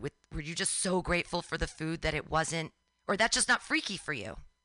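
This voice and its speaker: In a bright, sharp and animated tone with vocal fry, a woman with a fairly low pitch speaks at a moderate pace, the sound dry and close with no echo against a quiet background. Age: 40s. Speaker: radio host. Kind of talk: interview.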